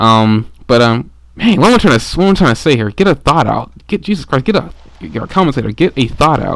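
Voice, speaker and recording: A man talks at a very fast pace with vocal fry. His pitch swings very widely. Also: medium pitch for a man. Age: 20s. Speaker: gaming commentator. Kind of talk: gameplay commentary. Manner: halting.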